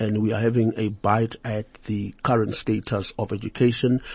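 Somewhat breathy male voice, medium in pitch, with monotone, flat intonation. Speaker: radio talk show host. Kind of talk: interview.

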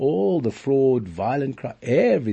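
At a fairly slow pace, a man talks in a somewhat breathy voice. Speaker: fraud expert and lecturer. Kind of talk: interview. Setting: studio.

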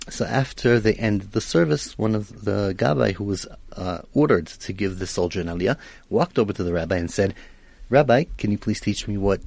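A man with an Israeli accent, fairly low-pitched, at a fairly quick pace and with lively intonation. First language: Hebrew. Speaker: radio host. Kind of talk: radio talk show interview. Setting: radio studio.

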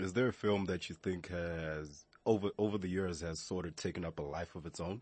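At a fairly quick pace, a man with a very deep, low pitch talks using fairly even intonation. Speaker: radio host. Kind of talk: radio talk show. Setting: radio studio.

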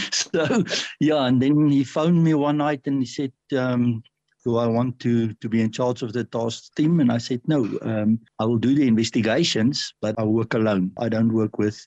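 Speaking at a moderate pace, a man uses a medium pitch with ordinary variation and a dark, mellow tone, in a dry, close sound with no echo. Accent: South African. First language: Afrikaans. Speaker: retired police detective and author. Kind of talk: interview. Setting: pre-recorded interview.

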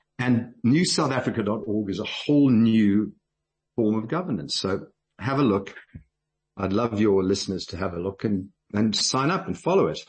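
At a moderate pace, a man talks in a medium-pitched, somewhat breathy voice with lively intonation. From South Africa. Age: 60s. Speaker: businessman and political activist. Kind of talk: radio interview.

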